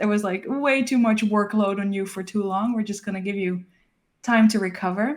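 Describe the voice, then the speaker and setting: A woman's medium-pitched voice with a Dutch accent, at a moderate pace and with fairly even intonation. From Netherlands. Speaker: illustrator, author. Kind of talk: casual interview chat.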